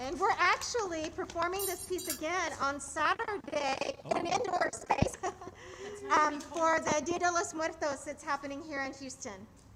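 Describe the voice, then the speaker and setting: Against noticeable background noise, a woman with an extremely high voice speaks in a raised, projected voice at a moderate pace with ordinary pitch variation. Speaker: choreographer. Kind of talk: casual chat. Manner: loud.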